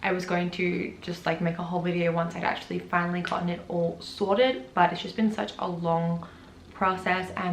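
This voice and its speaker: In an Australian accent, a woman speaks at a fairly quick pace with a fairly low pitch. Audible room echo and noticeable background noise surround her. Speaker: vlogger. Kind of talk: casual vlog talk.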